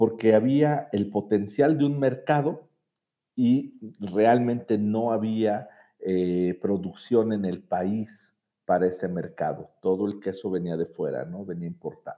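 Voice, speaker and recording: A man speaks at a very slow pace. His fairly low pitch shows ordinary variation. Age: 40s. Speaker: executive director of a children's home. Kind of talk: interview. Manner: hesitant, with fillers and repetitions.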